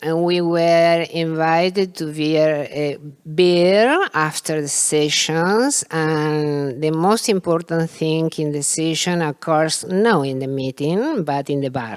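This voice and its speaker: A woman's very deep, low voice with a non-native accent, at a very slow pace with hardly any pauses. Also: ordinary pitch variation. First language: Spanish. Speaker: philosophy of history scholar. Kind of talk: academic panel discussion. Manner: halting, repeating words.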